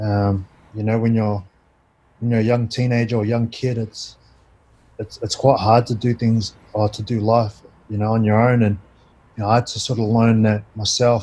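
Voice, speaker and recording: A man at a medium pitch, somewhat breathy, with a dark, mellow tone, monotone, flat intonation, moderate pace and long, frequent pauses. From Christchurch, New Zealand. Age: 20s. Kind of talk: casual interview chat, personal storytelling. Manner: relaxed, conversational, uses 'bro'.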